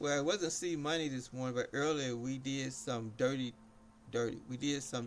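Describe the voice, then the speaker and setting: Music runs in the background as a man speaks at medium pitch with fairly even intonation. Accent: American. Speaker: game streamer. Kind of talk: casual live stream chat. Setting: live stream. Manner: rambling, halting.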